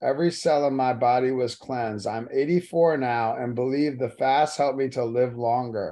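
A man speaks in a plain, everyday voice at a medium pitch. His moderate pace has hardly any pauses, and his intonation stays fairly even. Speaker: church prayer leader. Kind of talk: reading aloud. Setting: phone call.

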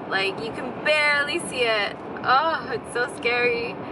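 Very slowly, a woman speaks with ordinary pitch variation in a dry recording with no echo and noticeable background noise. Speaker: vlogger. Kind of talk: casual vlog chat. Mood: amused, slightly anxious. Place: car. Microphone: phone near.

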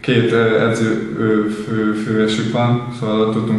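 Strong room echo surrounds a man speaking fairly slowly. His intonation is monotone and flat. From Hungary. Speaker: professional footballer, midfielder. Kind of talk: post-match interview; interview answer. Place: empty room.

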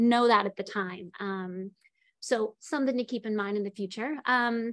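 Against a quiet background, a woman speaks at a moderate pace with fairly even intonation, the sound dry with no echo. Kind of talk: career talk presentation. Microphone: video call.

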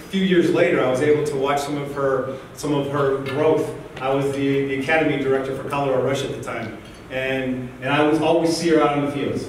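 Strong room echo colors the voice of a man speaking at a fairly quick pace. His intonation is monotone and flat, over light background noise. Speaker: guest, soccer coach. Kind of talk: motivational speech. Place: hall. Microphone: camera far.

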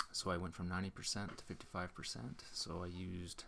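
A man's very deep, low voice with vocal fry. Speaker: electric car owner. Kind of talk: scripted narration.

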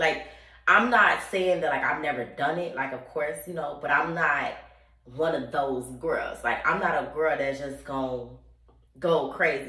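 A fairly slow-paced woman's voice with ordinary pitch variation and audible room echo. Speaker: vlogger. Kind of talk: casual vlog chat. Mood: candid, playful. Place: bathroom. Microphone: phone near.

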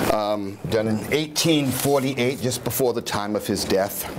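A man's voice over loud background noise. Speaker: dramatic reader. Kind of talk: casual spoken introduction to a reading, hesitant with fillers. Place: home room.

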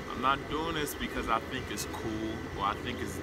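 A man talks at a fairly quick pace while loud background noise plays behind him. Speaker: aspiring activist vlogger. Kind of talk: personal monologue to camera. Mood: earnest, calm, determined. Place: open country.

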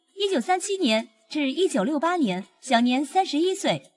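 A woman's moderate-paced speech rises and falls with lively intonation. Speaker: entertainment video narrator. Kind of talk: scripted narration.

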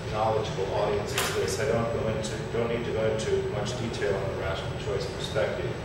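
A man speaks at a fairly quick pace amid loud background noise. The room echo is audible. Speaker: conference presenter. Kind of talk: lecture. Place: hall.

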